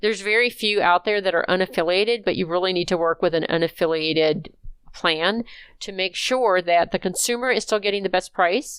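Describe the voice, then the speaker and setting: Very clean and set against a silent background, the recording holds a plain, everyday voice moving at a fairly quick pace with ordinary pitch variation. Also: woman, medium pitch for a woman. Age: 60s. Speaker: healthcare consulting executive. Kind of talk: interview.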